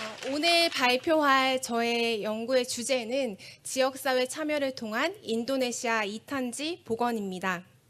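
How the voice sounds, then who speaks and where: Against noticeable background noise, a woman speaks at a very slow pace with hardly any pauses, her pitch high and its variation ordinary. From Korea. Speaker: forest researcher. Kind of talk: conference presentation. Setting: stage with audience. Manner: formal.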